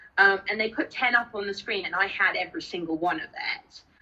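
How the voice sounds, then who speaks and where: Speaking with an English accent, a woman keeps a moderate pace. Her medium pitch shows ordinary variation. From Spain. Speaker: interviewee with rare genetic disorder. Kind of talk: interview. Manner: halting, many fillers.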